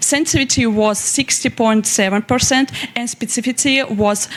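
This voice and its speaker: At a moderate pace and with ordinary pitch variation, a speaker with a Russian accent talks over noticeable background noise. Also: woman. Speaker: young researcher presenting. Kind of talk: conference presentation. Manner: halting.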